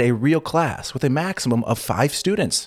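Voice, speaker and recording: Lively intonation at a moderate pace in a Californian accent, on a very clean recording with a silent background. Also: man. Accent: Californian American English. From California, US. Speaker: podcast co-host. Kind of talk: casual chat.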